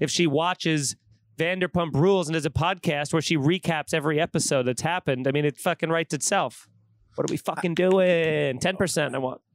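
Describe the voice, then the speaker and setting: With an American accent, a man talks in fairly even intonation and very even loudness, recorded very cleanly against a silent background with a dry, close sound and no echo. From New York. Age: 30s. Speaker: comedian. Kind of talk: casual chat.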